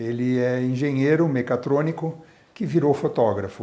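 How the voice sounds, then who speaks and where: Using a plain, everyday voice, a man speaks at a fairly slow pace and medium pitch with ordinary pitch variation. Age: 60s. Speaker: obstetrician and medical professor. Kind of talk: oral history interview.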